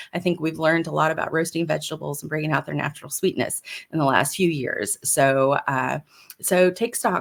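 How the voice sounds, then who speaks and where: With vocal fry and lively intonation, the speaker moves along at a fairly quick pace. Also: woman. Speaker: personal chef. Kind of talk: live stream tutorial. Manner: fast; casual, filler-heavy.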